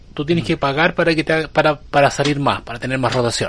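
A man's fairly high, fairly quick voice in a Chilean accent. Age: 40s. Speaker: podcast host. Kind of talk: casual chat.

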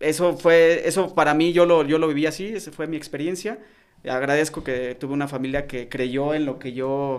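The speaker is a man with a central Mexican accent. His pitch is fairly high, with ordinary pitch variation. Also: moderate pace. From Mexico, León (Guanajuato). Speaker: retired footballer. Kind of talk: interview.

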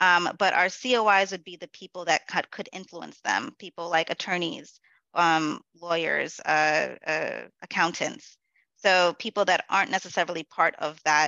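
A woman with an ordinary speaking voice and an American accent talks fairly slowly at a fairly low pitch with ordinary pitch variation. Her loudness swings widely. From New York City, the Bronx. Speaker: corporate event manager. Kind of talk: interview.

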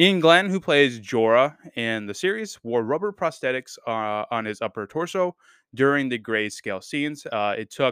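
Recorded very cleanly with a silent background and a dry, close sound with no echo, a man with a normal speaking voice talks at a moderate pace and medium pitch. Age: 20s. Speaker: podcast host, film and TV reviewer. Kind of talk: solo review podcast. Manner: casual, many filler words.

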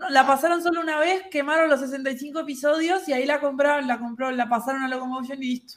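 With hardly any pauses, a woman talks in a high voice with fairly even intonation. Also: fairly quick pace. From Uruguay. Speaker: podcast co-host. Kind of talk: casual chat.

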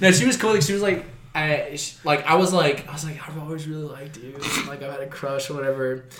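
The voice races at a very fast pace in an American accent, with ordinary pitch variation and big swings in loudness. Noticeable background noise and audible room echo fill the recording. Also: man, fairly high pitch for a man. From South Texas, Corpus Christi. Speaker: deathcore vocalist. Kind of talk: casual chat.

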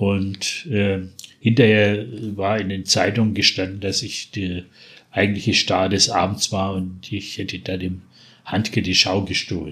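The man speaks at a fairly slow pace with fairly low pitch. His intonation is monotone and flat. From Franconia, Bavaria. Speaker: dialect poet. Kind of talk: poetry reading.

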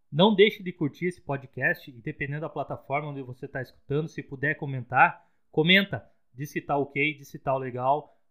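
A man with a plain, everyday voice talks at a fairly quick pace and a fairly high pitch. His pitch varies in an ordinary way, while his loudness swings widely. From Rio Grande do Sul, Brazil. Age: 30s. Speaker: podcast co-host, software developer. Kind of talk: casual podcast chat.

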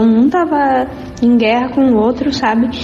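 A woman at a high pitch over noticeable background noise. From southern Brazil, Rio Grande do Sul (Arroio dos Ratos). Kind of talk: testimony.

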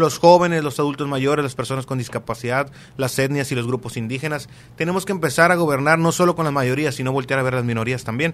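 Fairly high in pitch, a man speaks at a very fast pace. His pitch variation is ordinary. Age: 20s. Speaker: local politician. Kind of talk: interview.

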